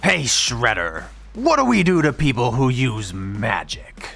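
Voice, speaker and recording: A man uses a put-on character voice at a medium pitch, speaking at a fairly slow pace. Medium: machinima. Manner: gruff, commanding.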